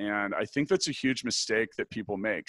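At a moderate pace, a man talks in a medium pitch, the sound dry and close with no echo on a very clean recording with a silent background. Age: 40s. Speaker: podcast host and tech company CEO. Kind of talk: interview. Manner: direct.

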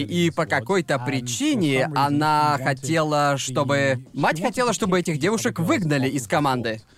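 Fairly high in pitch, a man with an unremarkable speaking voice talks with ordinary pitch variation. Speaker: podcast host. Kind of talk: casual banter podcast. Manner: casual, swearing.

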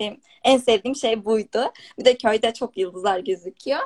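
Her delivery runs fairly quick. The recording is dry and close, without any echo. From Turkey, rural village. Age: 20s. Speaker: software developer and entrepreneur. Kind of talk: interview on a live stream.

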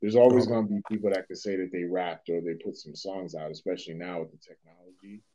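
A man with a Boston accent, a very deep, low voice with a dark, mellow tone, very fast delivery, big swings in loudness and ordinary pitch variation. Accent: Boston urban American English. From Boston, Massachusetts (Dorchester). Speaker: rapper and hip hop teacher. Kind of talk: casual interview conversation.

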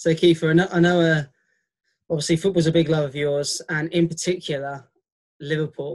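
Long, frequent pauses and monotone, flat intonation. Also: man, fairly high pitch for a man, fairly quick pace. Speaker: podcast host and coach. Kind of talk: casual interview chat.

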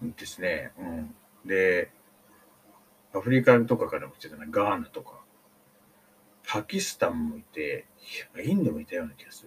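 Long, frequent pauses break up a man's speech. He talks at a moderate pace with big swings in loudness. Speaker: podcaster. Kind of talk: casual storytelling monologue. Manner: hesitant, many fillers.

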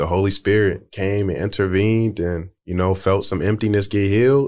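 A man with a normal speaking voice talks at a fairly low pitch and moderate pace in a very clean recording with a silent background. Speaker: podcast guest. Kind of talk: casual chat.

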